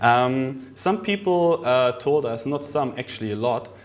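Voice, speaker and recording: In a room with audible echo, a man speaks at a medium pitch. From Germany. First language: German. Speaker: product specialist presenter. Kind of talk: conference presentation. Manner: hesitant, many fillers.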